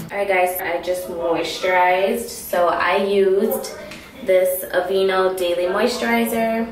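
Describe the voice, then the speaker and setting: With light background noise and audible room echo, a woman speaks at a fairly slow pace. Her pitch shows ordinary variation. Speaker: beauty vlogger. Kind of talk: casual vlog chat. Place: bathroom. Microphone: camera far.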